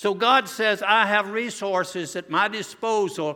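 With a Southern US accent, a man with a high pitch uses a raised, projected voice with a bright, sharp tone and fairly even intonation. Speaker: visiting preacher. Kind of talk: revival sermon to a congregation. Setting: church, in front of a live congregation. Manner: earnest, warm, pulpit-style exhortation; conversational and humorous, with self-deprecating asides.

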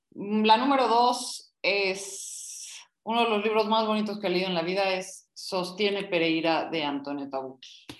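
Here is a woman with a normal speaking voice. Her pitch is medium, with ordinary variation. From Bolivia. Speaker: book club panelist. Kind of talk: casual book discussion.

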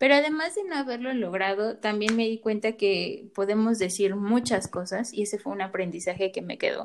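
A woman with a plain, everyday voice talks at a fairly high pitch and a moderate pace. She uses ordinary pitch variation and hardly any pauses. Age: 20s. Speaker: psychologist podcast co-host. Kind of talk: casual chat.

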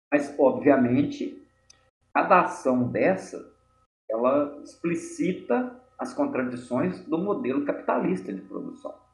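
The voice moves at a very slow pace with very wide pitch swings and audible room echo. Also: man, high pitch for a man. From Minas Gerais, Brazil (Mariana). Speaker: pharmacist and activist. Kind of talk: interview.

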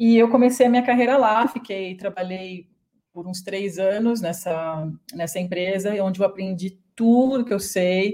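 The woman has an unremarkable speaking voice at a medium pitch, with ordinary pitch variation, big swings in loudness and a fairly slow pace. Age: 30s. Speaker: business owner, internationalization consultant. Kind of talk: interview.

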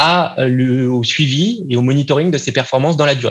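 A man talks in a fairly high, somewhat breathy voice at a moderate pace, with ordinary pitch variation. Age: 30s. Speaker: marketing agency founder. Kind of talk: podcast interview.

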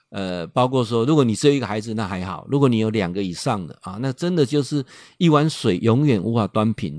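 In a dry, close recording with no echo and a quiet background, a man speaks at a moderate pace in an animated tone with lively intonation. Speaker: radio host and professor. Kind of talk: radio talk monologue. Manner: animated, many filler particles.

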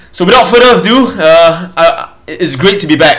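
A man talks with lively intonation and a moderate pace while noticeable background noise sits behind him. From Singapore. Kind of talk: solo teaching podcast. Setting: home recording, mic further away. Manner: casual, hesitant with fillers.

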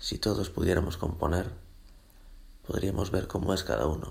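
Vocal fry marks this fairly slow delivery with ordinary pitch variation and audible room echo. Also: man. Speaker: podcaster. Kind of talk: solo monologue podcast.

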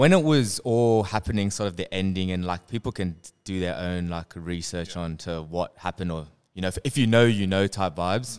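Over a silent background in a very clean recording, the speaker talks at a fairly quick pace with an Australian accent, ordinary pitch variation and big swings in loudness. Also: man, very deep, low pitch for a man. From Western Sydney, Australia. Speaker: clothing brand co-founder. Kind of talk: casual chat. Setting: their own studio space.

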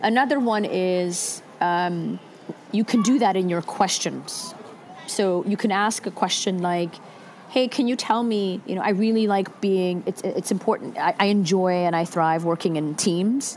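Noticeable background noise sits behind a woman speaking at medium pitch. She talks at a fairly slow pace with ordinary pitch variation. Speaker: HR leader giving career advice. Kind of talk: online Q&A advice session. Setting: video call. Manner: casual, hesitant with fillers.

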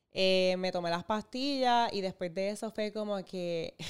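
This very clean recording has a silent background. A woman speaks at a medium pitch in an unremarkable speaking voice. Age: 30s. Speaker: content creator. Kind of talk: testimony.

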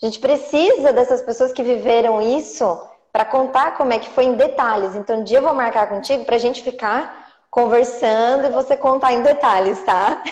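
Her pitch varies in an ordinary way as a woman talks in a high voice. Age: 30s. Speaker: ballet teacher and course creator. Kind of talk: live-stream interview. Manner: animated.

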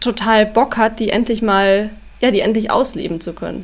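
The speech holds a moderate pace with fairly even intonation. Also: woman. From Bavaria, Upper Bavaria (Schongau near Allgäu). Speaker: author and travel blogger. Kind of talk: casual interview.

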